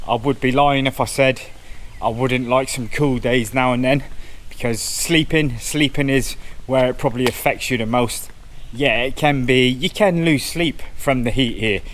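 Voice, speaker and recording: Audible room echo surrounds a man speaking at a moderate pace with fairly even intonation. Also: medium pitch for a man. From southwest England, Cornwall. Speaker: travel vlogger. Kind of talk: casual vlog talk to camera. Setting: outdoors, walking around a temple. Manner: casual, conversational with repetitions.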